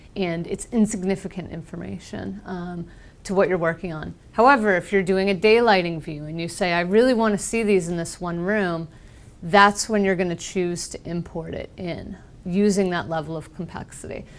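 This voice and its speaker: Speaking at a moderate pace, a woman with a fairly low voice keeps fairly even intonation while her loudness swings widely. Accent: American. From US Northeast, Boston. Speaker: software trainer. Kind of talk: technical presentation.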